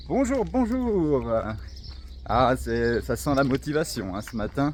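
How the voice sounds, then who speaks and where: A man is speaking. His pace is very slow. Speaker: travel vlogger on a walking trip. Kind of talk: vlog narration while hiking. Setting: outdoors. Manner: animated.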